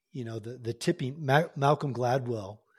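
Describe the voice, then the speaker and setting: A man's somewhat breathy, medium-pitched voice at a moderate pace with ordinary pitch variation, on a very clean recording with a silent background. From Oklahoma, US. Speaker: retired Marine helicopter pilot and executive coach. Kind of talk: interview conversation.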